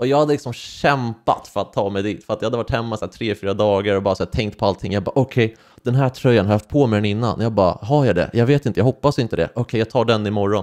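A man talks at a very fast pace with hardly any pauses. His pitch is medium with ordinary variation, and the background is quiet. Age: 20s. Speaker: YouTuber. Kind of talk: personal testimony vlog. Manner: halting. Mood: personal, reflective storytelling. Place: home room. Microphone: studio mic.

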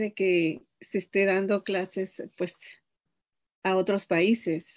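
Speaking very slowly in a flat monotone, a woman with a Mexican accent is heard against a quiet background. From Mexico, Chicontepec, Veracruz; Veracruz. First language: Nahuatl (speaking Spanish). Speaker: language teacher. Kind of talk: interview. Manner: halting. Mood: friendly, smiling. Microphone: video call.

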